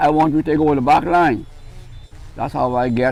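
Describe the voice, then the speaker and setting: A man with a Bahamian accent and a fairly high pitch, music playing behind him. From Bahamas. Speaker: Junkanoo cowbell player. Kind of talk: interview answer. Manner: charismatic, funny storytelling.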